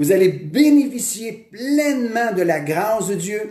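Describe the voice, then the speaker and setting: Through audible room echo, a man speaks at a very slow pace with ordinary pitch variation. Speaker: pastor. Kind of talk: sermon.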